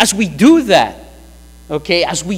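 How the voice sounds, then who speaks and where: A man with a high pitch. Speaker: pastor. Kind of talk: sermon. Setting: church. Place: church. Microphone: podium.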